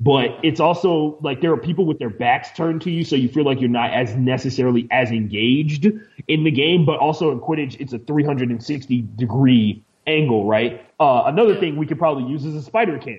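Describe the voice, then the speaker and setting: A man with an American accent talks in a plain, everyday voice at a fairly high pitch and fairly quick pace, with ordinary pitch variation. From Houston, Texas. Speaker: sports commentator. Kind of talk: casual interview chat.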